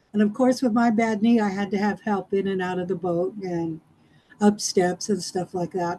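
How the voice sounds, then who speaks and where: Her voice is somewhat breathy, with a dark, mellow tone. The woman speaks at a medium pitch. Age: 60s. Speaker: club member giving a speech. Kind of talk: prepared speech. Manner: animated.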